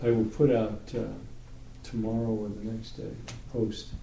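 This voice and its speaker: A man's medium-pitched voice, dark and mellow in tone, with big swings in loudness, long, frequent pauses and audible room echo. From New York. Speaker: Torah study group leader. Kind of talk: group Bible study discussion.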